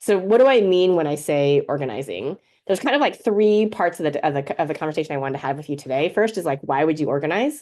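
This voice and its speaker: A woman with an American accent talks at a very fast pace. Her tone is dark and mellow, her pitch is very deep and low, and her intonation is lively. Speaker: professor and organizing researcher. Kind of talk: lecture.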